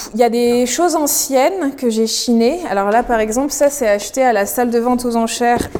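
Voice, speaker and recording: Noticeable background noise surrounds a woman speaking at high pitch and a moderate pace. Her pitch varies in an ordinary way, and her loudness is very even. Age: 20s. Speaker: costume maker and artisan. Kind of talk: casual interview. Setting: in her workshop.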